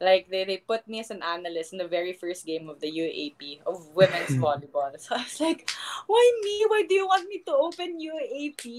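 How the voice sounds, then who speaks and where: Noticeable background noise surrounds a woman with a Filipino accent whose animated tone comes with big swings in loudness. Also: moderate pace. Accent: Filipino English with Tagalog code-switching. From Philippines. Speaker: professional volleyball player and sports analyst. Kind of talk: casual interview chat. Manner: animated, laughs often.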